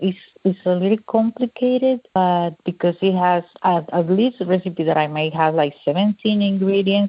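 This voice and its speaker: Speaking at a moderate pace with a Mexican accent, a woman keeps her medium-pitched voice at a very even loudness. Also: ordinary pitch variation. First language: Spanish. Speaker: cook and food blogger. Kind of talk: interview. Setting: radio interview. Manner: halting.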